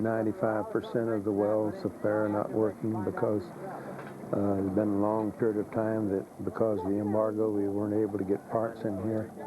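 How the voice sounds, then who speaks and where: There is noticeable background noise as a man with an American accent talks at a fairly low pitch with monotone, flat intonation. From US South. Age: 60s. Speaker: missionary preacher. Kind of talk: interview. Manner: halting, with repetitions.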